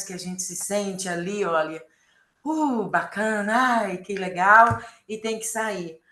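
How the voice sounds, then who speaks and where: A woman talks at medium pitch in a bright, sharp tone. Her pitch varies in an ordinary way. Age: 60s. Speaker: course participant. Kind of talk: group sharing in online workshop. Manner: halting.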